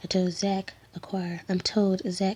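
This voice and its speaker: Whispering at a fairly slow pace comes through in a very clean recording with a silent background. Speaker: ASMR creator. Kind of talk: read story. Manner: whispered.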